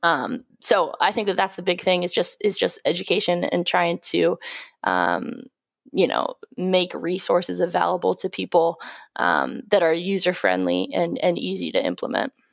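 In a very clean recording with a silent background, a woman with an American accent speaks at a moderate pace. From rural Pennsylvania. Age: 20s. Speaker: physical therapist and strength coach. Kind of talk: interview.

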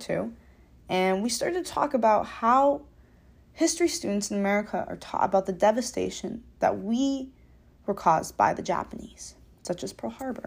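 In a normal speaking voice, a woman talks at a moderate pace with lively intonation. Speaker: student podcaster.

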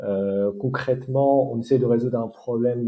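The speech comes at a fairly slow pace with fairly even intonation. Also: man. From Morocco. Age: 30s. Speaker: startup founder and engineer. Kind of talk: interview. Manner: halting, many hesitations.

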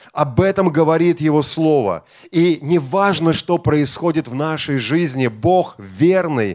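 A man talks at a very slow pace with ordinary pitch variation. The recording is very clean, with a silent background. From Estonia. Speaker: bishop. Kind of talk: sermon.

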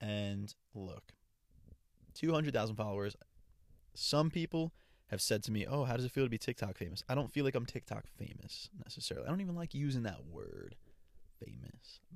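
A man speaks with long, frequent pauses. The recording is very clean, with a silent background. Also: medium pitch for a man, lively intonation, fairly quick pace. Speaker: podcaster and TikTok creator. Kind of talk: casual solo podcast monologue. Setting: home or travel mic, testing a USB microphone. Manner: casual, chatty, conversational.

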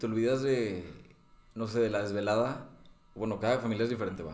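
Medium-pitched male speech at a fairly quick pace, with audible room echo. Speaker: podcast co-host. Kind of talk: casual chat.

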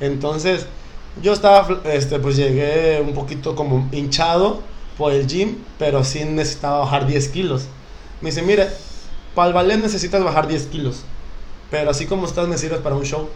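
A man's fairly high voice at a moderate pace, broken by long, frequent pauses, amid audible room echo and noticeable background noise. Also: ordinary pitch variation. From Mexico, Acapulco (Guerrero coast). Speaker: professional dancer. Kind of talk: casual chat.

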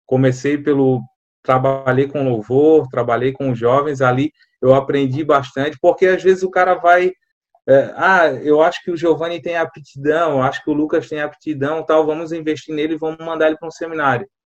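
With fairly even intonation, a man talks in a plain, everyday voice that sits fairly high. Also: moderate pace. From Florianópolis, Santa Catarina, Brazil. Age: 30s. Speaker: assistant pastor. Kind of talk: podcast interview.

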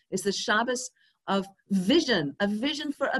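A woman's voice with very wide pitch swings. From England. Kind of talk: interview conversation.

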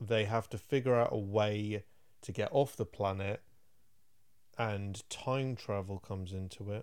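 On a very clean recording with a silent background, a man with an English accent talks at a fairly slow pace in a fairly low pitch, with fairly even intonation and long, frequent pauses. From England. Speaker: film podcast co-host. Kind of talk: casual chat.

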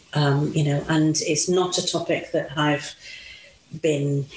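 Noticeable background noise accompanies talk at a moderate pace. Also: woman. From Italy. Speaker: mother sharing experiences of race. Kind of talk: interview conversation.

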